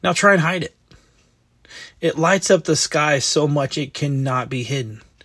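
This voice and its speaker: The voice has a bright, sharp tone and ordinary pitch variation at a moderate pace. The recording is very clean, with a silent background. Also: man, fairly high pitch for a man. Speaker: devotional host. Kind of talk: devotional talk with prayer. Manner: informal, conversational.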